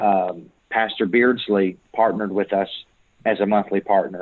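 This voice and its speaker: A man's fairly low voice moves at a moderate pace, its intonation monotone and flat. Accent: Kentucky. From Kentucky. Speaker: church planter, missionary. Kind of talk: church Q&A interview.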